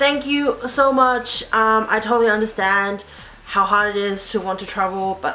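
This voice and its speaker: A woman with an Australian accent speaks at a medium pitch with ordinary variation, amid noticeable background noise and audible room echo. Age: 20s. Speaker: YouTuber. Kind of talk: casual Q&A video.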